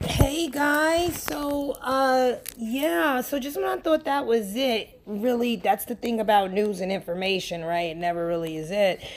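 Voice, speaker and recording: Despite hardly any pauses, a woman with an American accent keeps a fairly slow pace, her fairly high, animated voice making very wide pitch swings over noticeable background noise. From New York. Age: 30s. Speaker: podcast host. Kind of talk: casual monologue.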